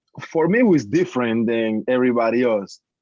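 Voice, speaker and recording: A man with a Spanish accent, medium pitch and a fairly slow pace. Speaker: former college basketball player. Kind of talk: panel discussion.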